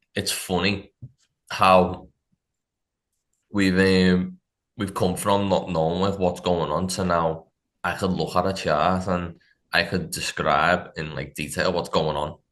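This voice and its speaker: A man's very deep, low voice in a Liverpool accent, fairly slow and monotone, with long, frequent pauses over a quiet background. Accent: Scouse. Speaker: funded trader. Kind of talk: casual interview chat.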